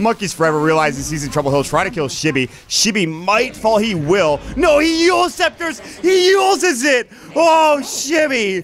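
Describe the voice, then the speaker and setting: Noticeable background noise sits behind a man with a high pitch. His pitch swings very wide. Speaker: esports caster. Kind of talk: live commentary. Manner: fast.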